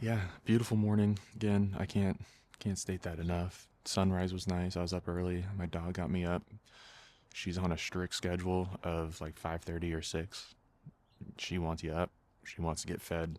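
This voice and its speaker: Here a man talks in a very deep, low pitch with a relaxed tone and monotone, flat intonation. The pace is moderate, and the recording is very clean with a silent background. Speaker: hobby photography YouTuber. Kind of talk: casual vlog narration. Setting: outdoors in backyard. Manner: relaxed, filler-heavy.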